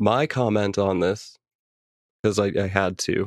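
In a normal speaking voice, a man with a fairly low pitch talks at a moderate pace, with a dry, close sound with no echo and a very clean recording with a silent background. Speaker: podcast host. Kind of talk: casual chat.

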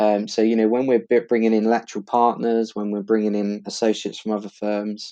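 With a slight East London accent, a man talks fairly quickly in a fairly low, dark, mellow voice and a monotone, flat intonation. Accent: East London, Essex, slight. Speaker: law firm partner. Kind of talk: casual interview.

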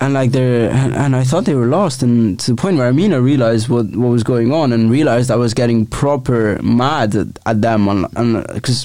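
A man speaks at a moderate pace with hardly any pauses and very even loudness. His medium-pitched voice has a dark, mellow tone and ordinary pitch variation. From Italy. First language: Italian. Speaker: podcast co-host. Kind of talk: casual chat.

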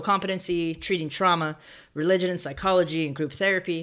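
A woman with an American accent and a fairly low pitch speaks at a fairly quick pace with fairly even intonation in an unremarkable speaking voice, in a very clean recording with a silent background. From Southern California, San Bernardino. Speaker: podcast host. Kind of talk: solo storytelling monologue. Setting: home office recording, alone.

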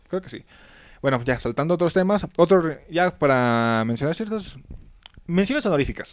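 A man's high-pitched voice with a Mexican accent and lively intonation, on a very clean recording against a silent background. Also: moderate pace. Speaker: podcast host. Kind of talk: casual chat.

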